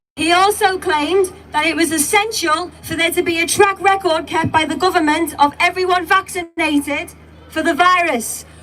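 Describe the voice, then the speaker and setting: A woman's extremely high-pitched voice with fairly even intonation, set over background music. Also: moderate pace. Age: young. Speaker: protest speaker. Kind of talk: public speech. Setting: outdoor rally with crowd.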